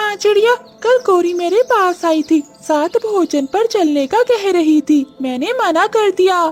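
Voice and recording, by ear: A cartoonish character voice talks at a fairly slow pace with hardly any pauses. Faint music plays in the background.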